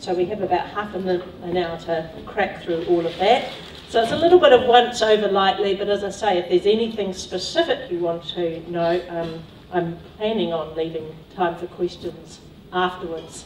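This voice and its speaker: Over light background noise and audible room echo, a woman talks at a moderate pace with ordinary pitch variation. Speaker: speaker. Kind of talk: lecture. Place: hall.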